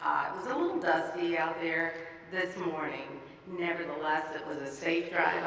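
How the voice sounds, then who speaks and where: A woman speaks with audible room echo and light background noise. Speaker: county commissioner. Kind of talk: formal speech. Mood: warm, smiling. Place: hall. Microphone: podium.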